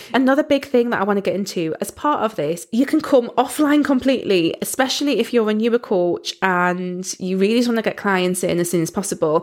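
Speaking very fast with hardly any pauses, a woman with a Geordie accent uses lively intonation at a medium pitch. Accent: Geordie (Newcastle English). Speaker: podcast host, business coach. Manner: conversational, explanatory.

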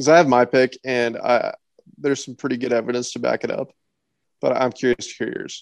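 A man speaks fairly quickly with an American accent. The sound is dry and close, with no echo. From Nebraska. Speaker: podcast co-host, sports fan. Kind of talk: casual chat.

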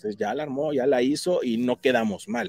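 With a dark, mellow tone and medium pitch, a man speaks at a moderate pace with ordinary pitch variation, the sound dry and close with no echo. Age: 40s. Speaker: tech speaker for realtors. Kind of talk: tutorial.

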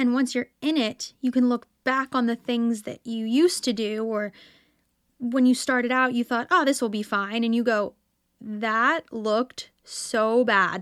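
Recorded very cleanly with a silent background and a dry, close sound with no echo, a woman speaks fairly slowly at a high pitch. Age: 20s. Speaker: podcast host, musical theatre performer. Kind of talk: solo podcast monologue. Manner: animated.

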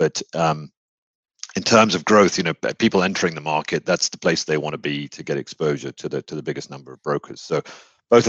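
A man with a British accent talks at a very fast pace. His pitch is very deep and low. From UK. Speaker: mortgage technology executive. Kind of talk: interview. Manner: halting.

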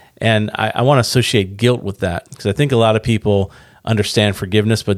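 A man with a normal speaking voice and fairly low pitch talks at a fairly quick pace with fairly even intonation. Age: 40s. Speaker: ministry podcast host. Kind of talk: casual chat.

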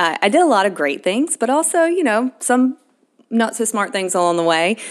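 A woman's fairly high voice at a moderate pace, with very wide pitch swings and very even loudness. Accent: Southern US. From Alabama. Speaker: podcast co-host. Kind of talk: casual chat.

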